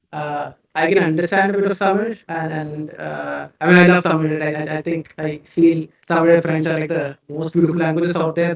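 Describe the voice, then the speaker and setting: A man with a Keralan accent speaks at a fairly quick pace and fairly high pitch. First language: Malayalam. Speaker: tech company CEO. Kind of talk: live-stream Q&A interview. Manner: halting, repeats words.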